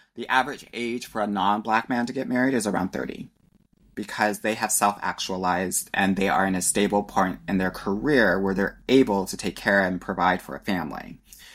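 A man with an American accent, fairly low in pitch, at a fairly quick pace with ordinary pitch variation. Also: very clean recording, silent background. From California. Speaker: dating and relationship coach. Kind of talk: casual podcast interview.

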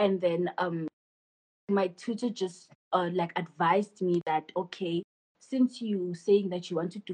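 A woman speaks at a moderate pace with a medium pitch and a dark, mellow, somewhat breathy tone. Her intonation is fairly even, and the sound is dry and close with no echo. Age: 20s. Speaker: photographer and business owner. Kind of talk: casual interview.

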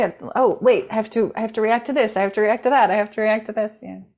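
A woman's fairly high-pitched, plain, everyday voice at a fairly quick pace. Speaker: podcast host. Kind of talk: casual interview chat. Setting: video call.

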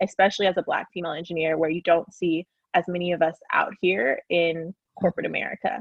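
A woman with an ordinary speaking voice, fairly low in pitch, at a moderate pace. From Oklahoma, US. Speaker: engineer and podcaster. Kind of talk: casual interview.

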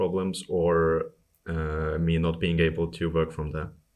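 A man speaks fairly slowly, with a quiet background behind him. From Estonia (Tallinn). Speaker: software engineer and bike tourer. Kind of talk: interview.

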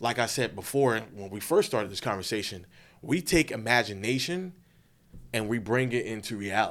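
A man with an American accent uses an ordinary speaking voice at a medium pitch, talking at a moderate pace with lively intonation. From Florida (Winter Haven). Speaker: film festival host and filmmaker. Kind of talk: casual interview.

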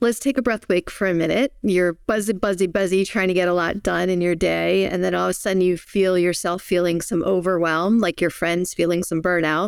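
In an American accent, a woman talks with an ordinary speaking voice at a medium pitch. Her intonation is fairly even, and the sound is dry and close with no echo. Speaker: breathwork teacher and author. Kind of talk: guided breathing meditation. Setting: video call. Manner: calm, slow, soothing, with gentle cues.

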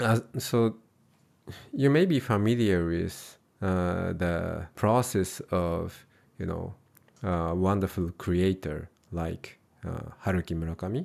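In a very clean recording with a silent background, a man speaks with a Japanese accent. His pitch is very deep and low, and his pace is very slow. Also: ordinary pitch variation. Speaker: Buddhist monk and translator. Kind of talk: interview conversation. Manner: halting, many fillers.

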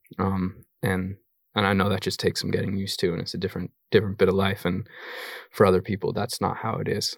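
With a General American accent, a man speaks at a very fast pace in a monotone, flat intonation. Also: fairly low pitch for a man. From Colorado, US. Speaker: filmmaker. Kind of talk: live Q&A interview. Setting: stage with audience.

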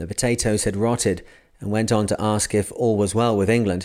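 Heard on a very clean recording with a silent background, a plain, everyday voice moves at a fairly quick pace with fairly even intonation. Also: man. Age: 40s. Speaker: podcast host reading books aloud. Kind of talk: reading aloud.

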